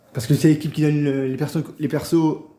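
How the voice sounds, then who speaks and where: This man's voice is dark and mellow, pitched fairly high. He speaks very fast with fairly even intonation. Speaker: songwriter for a channel. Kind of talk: unplanned direct-to-camera announcement. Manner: halting, many repetitions and slips.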